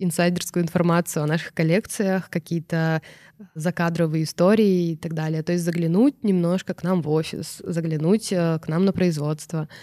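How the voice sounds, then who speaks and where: A woman's fairly low, dark, mellow voice at a moderate pace, fairly even in intonation, dry and close with no echo, on a very clean recording with a silent background. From Irkutsk Oblast, Russia. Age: 30s. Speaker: fashion brand founder. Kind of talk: interview.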